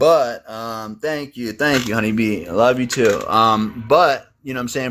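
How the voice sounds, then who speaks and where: A man's normal speaking voice at medium pitch, with ordinary pitch variation and a fairly quick pace, on a very clean recording with a silent background. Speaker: livestream host. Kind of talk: casual chat. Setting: TikTok live stream.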